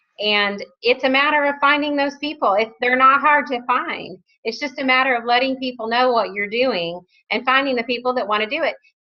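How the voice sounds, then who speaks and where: A woman's high-pitched, animated voice at a fairly quick pace, with ordinary pitch variation. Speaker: network marketing team leader. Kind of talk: conference call interview. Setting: phone conference call.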